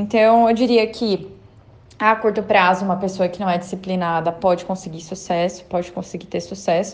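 Moderately paced female speech in a normal speaking voice with medium pitch and fairly even intonation. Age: 20s. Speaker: economist, financial planner. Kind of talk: recorded testimony.

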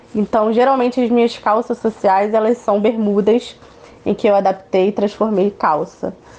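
A woman speaks at a moderate pace with a fairly high pitch and fairly even intonation. Noticeable background noise sits behind her. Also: very even loudness. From Niterói, Rio de Janeiro, Brazil. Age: 20s. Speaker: activist and speaker. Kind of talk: interview.

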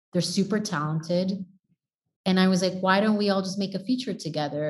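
Speaking at a fairly quick pace, a woman with an American accent has a medium pitch, a somewhat breathy quality and fairly even intonation. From Texas, El Paso. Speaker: filmmaker and professor. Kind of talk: interview. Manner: halting.

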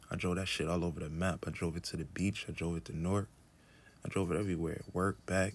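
Very fast and fairly even in intonation, a man speaks with a very deep, low pitch. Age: 30s. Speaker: podcast host, artist. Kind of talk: solo casual monologue. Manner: laid-back, chill.

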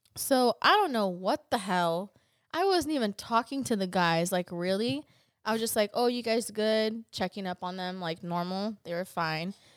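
On a very clean recording with a silent background and a dry, close sound with no echo, a woman speaks in a plain, everyday voice at a medium pitch and moderate pace, her intonation lively. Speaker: guest who works in restaurant. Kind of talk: casual chat.

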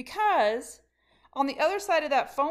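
A woman speaks in an animated tone at a high pitch. Her pitch swings very widely. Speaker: leadership coach. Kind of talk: motivational monologue.

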